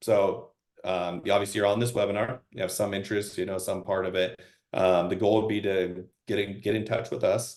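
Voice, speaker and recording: Speaking with an American accent, a man goes at a fairly quick pace in a fairly low, monotone voice with flat intonation. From eastern Washington, US. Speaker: real estate investment presenter. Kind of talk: webinar presentation. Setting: webinar. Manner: fast.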